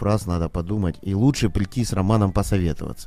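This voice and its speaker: Fairly quick and with lively intonation, a man speaks in a dark, mellow tone. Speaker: restaurant manager. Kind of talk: casual chat.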